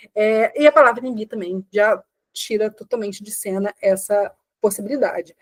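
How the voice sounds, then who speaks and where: Speaking at a fairly high pitch, a woman shows ordinary pitch variation. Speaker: teacher. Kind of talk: live online class. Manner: fast.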